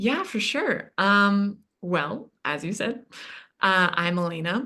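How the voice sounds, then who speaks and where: Against a quiet background, a woman with a North American accent speaks at medium pitch in a bright, sharp tone with vocal fry. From Yemen. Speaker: interview guest, recent psychology graduate. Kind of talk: podcast interview.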